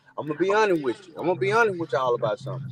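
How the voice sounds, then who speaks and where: A man's high-pitched, very fast speech with very wide pitch swings, dry and close with no echo, over noticeable background noise. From Alabama, rural. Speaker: podcast co-host. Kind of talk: casual chat.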